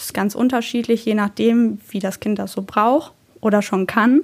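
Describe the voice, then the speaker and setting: Delivery moves at a moderate pace with fairly even intonation. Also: woman. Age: 20s. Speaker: daycare educator. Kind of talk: informational podcast talk. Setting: office.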